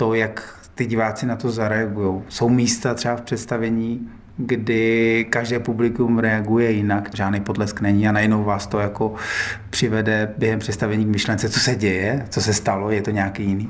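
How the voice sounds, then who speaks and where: Room echo is audible as a man speaks at a moderate pace and medium pitch. His intonation is monotone and flat, and his loudness stays very even. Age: 40s. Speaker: acrobat and circus company director. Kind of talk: interview.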